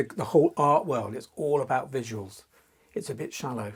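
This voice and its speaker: Somewhat breathy, a man speaks at a moderate pace. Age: 60s. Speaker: fantasy artist. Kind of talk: interview. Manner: halting.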